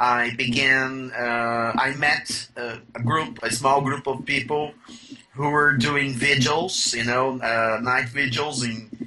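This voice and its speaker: Over noticeable background noise, a man with a Brazilian Portuguese accent speaks very slowly with fairly even intonation. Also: medium pitch for a man. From Brazil, São Paulo. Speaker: UFO researcher, author. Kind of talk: interview. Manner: halting, many fillers.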